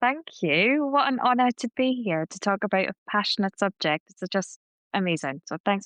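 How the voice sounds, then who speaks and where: A woman speaks at a moderate pace and a medium pitch. Her pitch swings very widely. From northeast England. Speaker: continuous improvement professional. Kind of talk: interview podcast.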